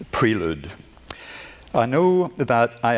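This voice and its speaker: A man with a Northern Irish accent, against noticeable background noise. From Northern Ireland. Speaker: glass artist and art professor. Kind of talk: lecture. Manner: halting.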